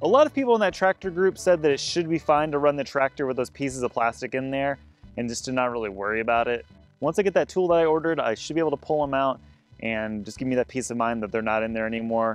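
A man talking at a very fast pace, dry sound with no echo, faint music in the background. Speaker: farm vlogger. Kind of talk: casual vlog chat. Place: open country. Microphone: phone near.

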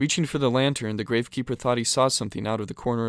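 This is plain reading aloud. Nothing more is heard.

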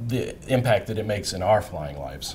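The speaker is a man. He goes at a fairly quick pace. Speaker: flight training instructor. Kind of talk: interview answer. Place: meeting room. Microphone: lapel.

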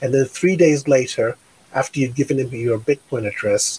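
With an American accent, a man talks at a moderate pace in a medium pitch, sounding somewhat breathy. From New York, Brooklyn; New York. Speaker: tech company founder; guest. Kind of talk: interview. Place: home room. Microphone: studio mic.

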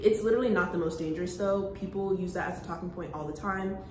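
Amid noticeable background noise and audible room echo, a woman with an American accent talks very fast at a medium pitch, with ordinary pitch variation. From New Jersey. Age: young. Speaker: college student vlogger. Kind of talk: casual vlog talk. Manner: casual, filler-heavy.

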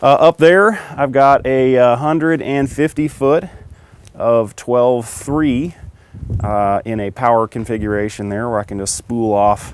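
A man talks at a fairly slow pace with ordinary pitch variation. The recording is dry with no echo. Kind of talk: casual vlog chat. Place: street. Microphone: phone near.

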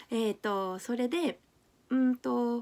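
A woman's voice sits at a fairly high pitch with a dark, mellow tone. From Japan. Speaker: YouTuber and English teacher; language learning vlogger. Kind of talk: vlog monologue. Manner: hesitant, many fillers. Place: home room. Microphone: phone near.

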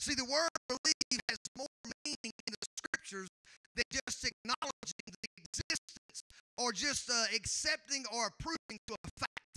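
In an extremely high voice with a bright, sharp tone, a man speaks at a moderate pace with lively intonation and long, frequent pauses, the sound dry and close with no echo.

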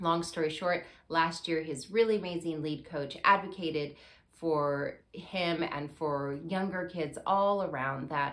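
This woman speaks at a very deep, low pitch, with ordinary pitch variation. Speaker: show host. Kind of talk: personal talk-show monologue. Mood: warm, candid storytelling.

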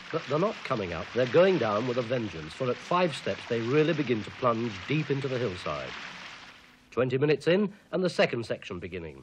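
Against light background noise, a man's voice makes very wide pitch swings. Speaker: documentary narrator. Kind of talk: documentary narration.

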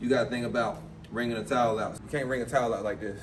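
Noticeable background noise behind a man's very fast pace. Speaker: boxing coach. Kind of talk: tutorial. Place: gym. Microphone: lapel.

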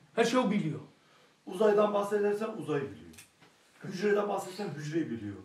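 A man with a high pitch speaks at a moderate pace, with ordinary pitch variation. Long, frequent pauses come through amid audible room echo. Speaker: study circle participant. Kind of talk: group discussion. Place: studio.

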